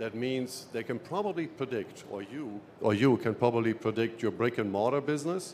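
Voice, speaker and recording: A man with a German accent, medium pitch, ordinary pitch variation and a moderate pace. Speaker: sales executive. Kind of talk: trade show seminar presentation.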